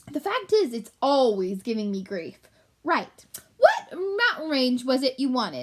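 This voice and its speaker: Doing a put-on character voice, a woman sounds shrill and pompous, high in pitch with very wide pitch swings, at a moderate pace. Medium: read story. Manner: pompous, know-it-all.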